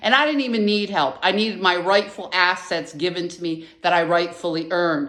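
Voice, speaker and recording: A woman with an American accent talks at a fairly quick pace with hardly any pauses, her fairly low voice showing ordinary pitch variation. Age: 60s. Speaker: vlogger. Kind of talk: personal rant to camera. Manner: halting, many fillers.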